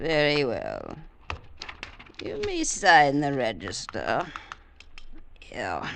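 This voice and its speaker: In a put-on character voice, a woman speaks at a very slow pace with long, frequent pauses. Clear background noise runs under her voice. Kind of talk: 1940s radio acting. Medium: old radio play. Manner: quiet, insinuating.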